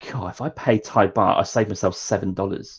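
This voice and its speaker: This man speaks with a Norfolk accent at a fairly low pitch. He talks at a fairly quick pace against a quiet background. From England, Norwich. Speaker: travel podcaster. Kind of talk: casual chat. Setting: studio.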